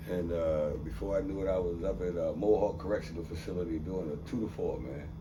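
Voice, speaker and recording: A man with an American accent speaks at a fairly quick pace in a very deep, low voice with ordinary pitch variation, with audible room echo and noticeable background noise. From New York City (Harlem). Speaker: abuse survivor and former basketball player. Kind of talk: interview. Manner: casual.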